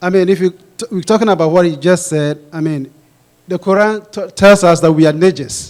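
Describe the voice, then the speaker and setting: Speaking at a moderate pace in a Ghanaian accent, a man uses a high-pitched voice with fairly even intonation. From Ghana, West Africa. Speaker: pastor, audience questioner. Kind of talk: audience Q&A question. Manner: halting, many restarts.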